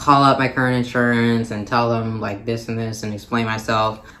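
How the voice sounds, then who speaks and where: With an American accent, a man talks at a medium pitch and a moderate pace in a monotone, flat way, with audible room echo. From Minnesota, US Midwest. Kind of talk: casual vlog talk. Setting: recording away from home, visiting family. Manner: hesitant, many fillers.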